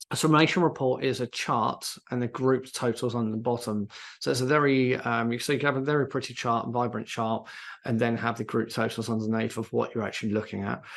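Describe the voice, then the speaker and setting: This man talks at a fairly quick pace with a medium pitch and fairly even intonation. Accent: British. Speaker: CRM software consultant presenting a webinar. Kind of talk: live software tutorial webinar. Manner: hesitant, many fillers.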